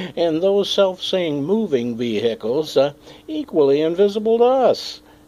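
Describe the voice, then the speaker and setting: A man's voice at a fairly slow pace, with very wide pitch swings and noticeable background noise. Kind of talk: comedic monologue to camera.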